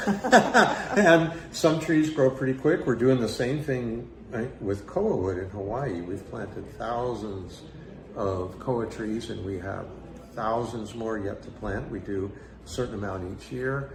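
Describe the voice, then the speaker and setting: Over music in the background and audible room echo, a man talks at a very slow pace with lively intonation and a medium pitch. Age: 70s. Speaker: guitar company co-founder. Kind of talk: interview. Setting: event at a guitar building school.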